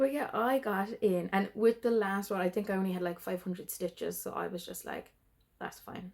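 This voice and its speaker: Her pitch medium and its variation ordinary, a woman speaks at a moderate pace with big swings in loudness. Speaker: cross-stitch video creator. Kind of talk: casual show-and-tell vlog. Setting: at home. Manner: hesitant, many fillers.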